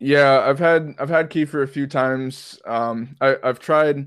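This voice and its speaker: A man's flat, monotone voice against a quiet background. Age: 20s. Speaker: strength and fitness coach. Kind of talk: casual interview.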